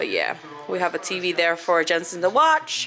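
With faint music in the background, a woman speaks in a fairly low pitch. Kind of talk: casual vlog chat. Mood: relaxed, quiet. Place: home room. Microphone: phone near.

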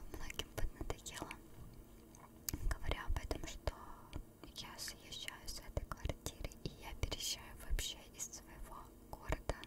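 A woman whispers at a very slow pace. Long, frequent pauses break up her words. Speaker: ASMR creator. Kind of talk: ASMR chat. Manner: whispered. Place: home room. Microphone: studio mic.

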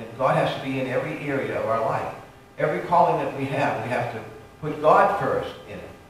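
The recording has strong room echo. Light background noise sits behind it. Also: man. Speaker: pastor. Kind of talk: sermon. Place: church.

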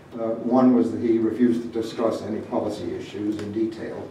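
A man speaks at a fairly quick pace, with audible room echo and light background noise around him. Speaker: guest lecturer. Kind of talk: lecture. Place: hall.

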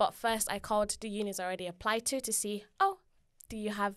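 A woman speaks at a moderate pace and a fairly high pitch. The background is quiet. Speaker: university student. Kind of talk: casual personal story. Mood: relaxed, friendly. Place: meeting room. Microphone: studio mic.

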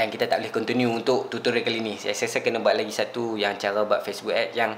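A man talking at a very fast pace against light background noise. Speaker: online ads tutorial creator. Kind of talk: casual tutorial vlog chat. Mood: apologetic, lightly amused. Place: home room.

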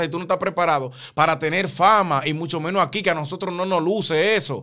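A bright, sharp tone at a very fast pace over a quiet background. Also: man. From Dominican Republic. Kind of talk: casual chat. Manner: animated. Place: studio. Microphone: studio mic.

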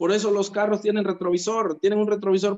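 A man's high voice at a very fast pace over a quiet background. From Mexico, Oaxaca coast; Oaxaca, Mexico. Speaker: network marketing distributor. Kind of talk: testimony. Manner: animated. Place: home room. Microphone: phone near.

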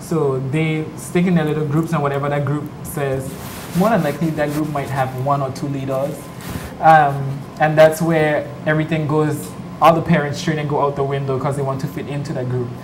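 Over noticeable background noise, a man talks at a fairly quick pace with a fairly high pitch and a monotone, flat intonation. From British Virgin Islands. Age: 20s. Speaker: pageant contestant; talk show guest. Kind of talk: TV interview. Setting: TV studio. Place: studio.

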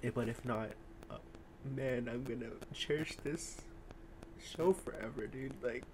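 Fairly slow, somewhat breathy speech from a man at medium pitch with ordinary pitch variation and long, frequent pauses. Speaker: reaction video host. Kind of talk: casual chat.

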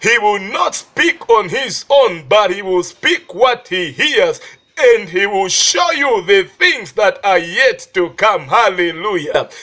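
A man speaks at a very slow pace with hardly any pauses, his high, raised, projected voice bright and sharp in tone and full of very wide pitch swings. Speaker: preacher. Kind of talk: sermon.

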